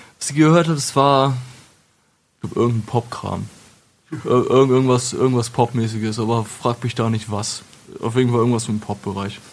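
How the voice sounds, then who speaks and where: A man at medium pitch, at a moderate pace, with long, frequent pauses. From Lower Saxony, Wolfenbüttel. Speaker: metal singer and retail clerk. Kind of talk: casual interview. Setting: studio.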